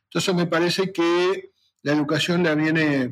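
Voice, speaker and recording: Monotone, flat intonation at a moderate pace. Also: man. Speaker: retired veterinary professor and former university rector. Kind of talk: interview.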